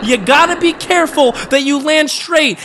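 Amid noticeable background noise, a man with an extremely high pitch uses a raised, projected voice and an animated tone. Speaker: diecast race commentator. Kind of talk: live race commentary.

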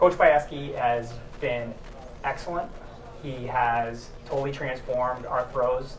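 The pace is slow. Intonation stays fairly even. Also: man, medium pitch for a man.

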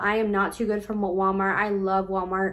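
A woman's medium-pitched voice at a moderate pace. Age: 20s. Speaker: YouTuber and small boutique owner. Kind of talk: casual tutorial vlog. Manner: casual with frequent filler words. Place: home room. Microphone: phone near.

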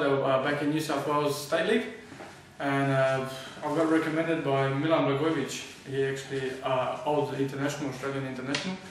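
A man talking very fast in a monotone, flat way, with audible room echo and noticeable background noise. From Australia. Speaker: professional footballer. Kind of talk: interview answer. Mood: relaxed, friendly. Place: home room.

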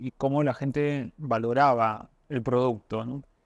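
A man with a Peruvian accent speaks fairly slowly with fairly even intonation. The sound is dry with no echo, and the background is quiet. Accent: Peruvian Spanish (Lima). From Peru, Lima (Barranco). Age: 40s. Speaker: restaurant owner, economist; interview guest. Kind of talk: interview. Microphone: lapel.

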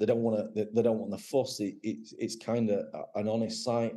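A man with an English accent speaks at a moderate pace, his medium-pitched voice dark and mellow in tone. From England. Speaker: gun dog website owner and former trialer. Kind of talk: casual interview chat. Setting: video call.

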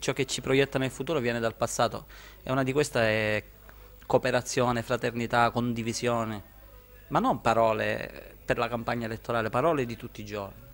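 A man with a Sicilian accent speaks at a fairly quick pace. His medium pitch follows fairly even intonation. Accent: Sicilian accent kept. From Sicily, Termini Imerese; Sicily. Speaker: author; interviewee. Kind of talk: interview. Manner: halting, repeats words. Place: shop. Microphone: handheld.

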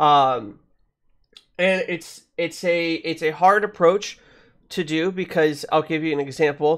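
A man talks in a high pitch. The background is quiet. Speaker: gaming podcast host. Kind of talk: casual podcast conversation. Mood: reflective, mildly critical. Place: home room. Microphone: studio mic.

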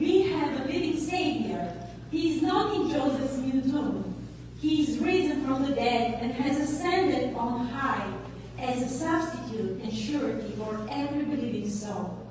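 High-pitched woman's voice at a fairly slow pace, with strong room echo and noticeable background noise. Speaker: concert narrator. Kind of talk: scripture reading narration. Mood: solemn, reverent. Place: church. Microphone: camera far.

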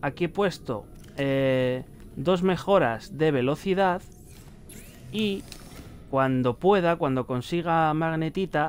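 With a Castilian accent, a man speaks at a fairly high pitch, his voice moving up and down in an ordinary way. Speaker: gaming youtuber. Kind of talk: let's play commentary. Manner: animated.

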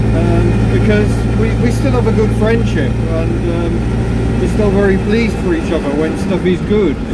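Loud background noise runs under a man talking at a moderate pace. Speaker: vlogger driving. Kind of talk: casual vlog chat. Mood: reflective, somewhat subdued. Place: car. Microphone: phone near.

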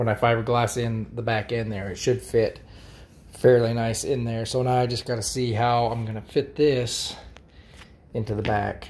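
The speech moves at a moderate pace, with long, frequent pauses. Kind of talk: casual vlog chat. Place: home room. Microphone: phone near.

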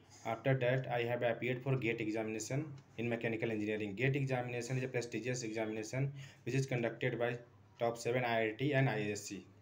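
A man's very fast, monotone delivery with flat intonation. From India. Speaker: maths tutor. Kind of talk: self-introduction for a job interview. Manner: hesitant, many fillers. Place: home room. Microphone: phone near.

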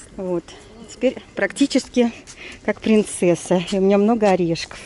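Fairly slow speech with ordinary pitch variation, a dry sound with no echo and light background noise. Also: woman. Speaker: travel vlogger. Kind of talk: casual chat. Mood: cheerful, joking. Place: street. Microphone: phone near.

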